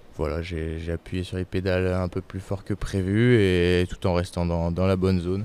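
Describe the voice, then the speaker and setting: On a very clean recording with a silent background, a man with a very deep, low pitch and a dark, mellow tone talks at a moderate pace with hardly any pauses and monotone, flat intonation. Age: 20s. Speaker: ultra-distance cyclist. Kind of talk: interview. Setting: race rest stop during a race. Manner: halting.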